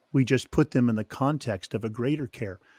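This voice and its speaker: A man's plain, everyday voice, medium in pitch with lively intonation, in a very clean recording with a silent background and a dry, close sound with no echo. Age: 60s. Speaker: author and ministry consultant. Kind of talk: interview conversation.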